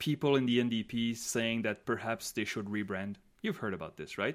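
A man speaks at a moderate pace with a French accent, his pitch medium, in a very clean recording with a silent background. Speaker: podcast co-host, polling analyst. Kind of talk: casual chat.

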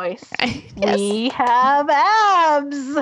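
A female-sounding voice speaks in a put-on character voice. Her pitch is high for a woman.

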